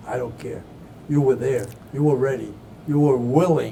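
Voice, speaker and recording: A man's medium-pitched voice with lively intonation, at a moderate pace, with audible room echo. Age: 80s+. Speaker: TV interview show host. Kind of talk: interview. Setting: on location at veterans hospital campus, camera crew.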